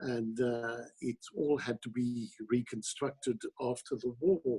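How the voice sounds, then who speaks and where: Very slowly, a man speaks with a medium pitch and a dark, mellow tone. His voice is somewhat breathy, with fairly even intonation. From Italy, Milan. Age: 70s. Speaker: opera director and teacher. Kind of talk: interview.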